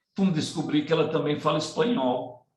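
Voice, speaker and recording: A man is speaking. His voice is somewhat breathy. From Ceará, Northeast Brazil, rural. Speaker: community education project leader. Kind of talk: presentation in online panel conversation.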